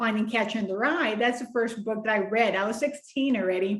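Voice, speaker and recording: A woman with a Spanish accent, a fairly high pitch, and fairly even intonation. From Mexico. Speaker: children's book author. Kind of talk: interview.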